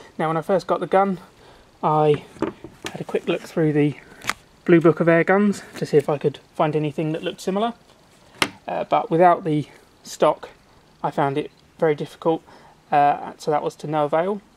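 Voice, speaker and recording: Moderate pace broken by long, frequent pauses, fairly even intonation, and noticeable background noise. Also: woman, fairly low pitch for a woman. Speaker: air gun reviewer. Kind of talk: tutorial. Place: garden.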